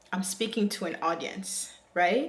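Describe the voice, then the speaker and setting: A woman speaks at a fairly slow pace, with noticeable background noise and audible room echo. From Africa, moved to the US as a child. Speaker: YouTuber. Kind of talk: vlog monologue to camera. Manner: hesitant, with fillers.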